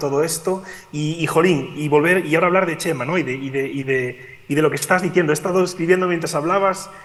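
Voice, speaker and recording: Here a man talks at a very fast pace with a Galician accent. His pitch is high and his intonation fairly even. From Galicia, Spain. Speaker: physicist and climate scientist. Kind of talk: remote talk at education event. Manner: hesitant, many fillers.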